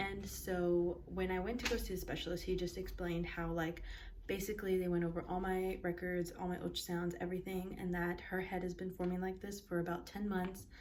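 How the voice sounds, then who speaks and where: A woman's fairly low, monotone voice with flat intonation, fairly quick with hardly any pauses, amid audible room echo and noticeable background noise. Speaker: mom vlogger. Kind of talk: casual vlog talk to camera. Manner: fast.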